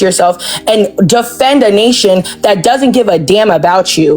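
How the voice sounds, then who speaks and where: There is noticeable background noise throughout. Through it, a woman's voice comes across. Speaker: debate panelist. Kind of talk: heated debate.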